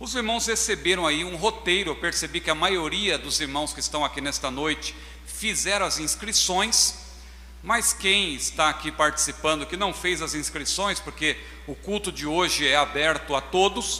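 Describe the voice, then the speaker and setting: A man talking at a moderate pace over noticeable background noise. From Brazil, São Paulo. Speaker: pastor. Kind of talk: sermon. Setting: church.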